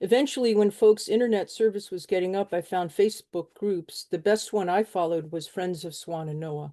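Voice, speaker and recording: A woman with a northern US accent talks fairly quickly with hardly any pauses, her medium-pitched voice dark and mellow in tone with ordinary pitch variation, recorded dry and close with no echo. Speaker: mutual aid volunteer. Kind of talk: webinar talk. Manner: reading from notes.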